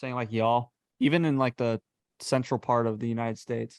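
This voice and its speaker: With a slight Texas accent, a man talks at a moderate pace in a medium pitch and fairly even intonation, the sound dry and close with no echo. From Texas, Calallen. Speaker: podcast host, engineering graduate. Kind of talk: casual chat. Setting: video call.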